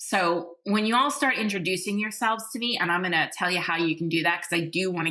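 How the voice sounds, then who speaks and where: A woman in a New York accent, medium-pitched and energetic in tone, at a fairly quick pace with ordinary pitch variation. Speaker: podcast host and leadership coach. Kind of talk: podcast monologue.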